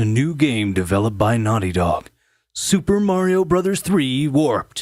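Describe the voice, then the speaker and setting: Putting on a character voice, a man speaks at a moderate pace with very wide pitch swings. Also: fairly high pitch for a man. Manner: dramatic.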